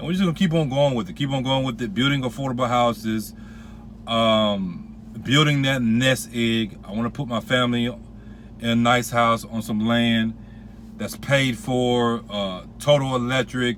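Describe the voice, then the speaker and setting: A man's medium-pitched voice rises and falls in an ordinary way as he talks at a moderate speed. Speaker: pastor and real estate investor. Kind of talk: casual vlog talk. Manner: hesitant, repeats words.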